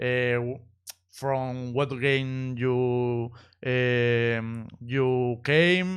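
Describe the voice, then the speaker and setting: A man with a Spanish accent, medium pitch and a quiet background. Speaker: esports streamer interviewer. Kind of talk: live stream interview. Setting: voice call. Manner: halting.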